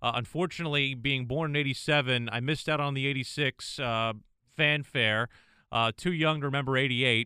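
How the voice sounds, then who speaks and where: An ordinary speaking voice from a man, pitched in the middle range, its pitch varying in an ordinary way. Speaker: sports broadcaster and podcast co-host. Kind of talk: casual sports chat.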